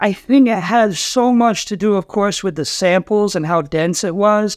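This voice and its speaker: Speaking with an American accent, a man keeps a fairly slow pace. The recording is very clean, with a silent background. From Rhode Island, US. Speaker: DJ. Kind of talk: casual chat.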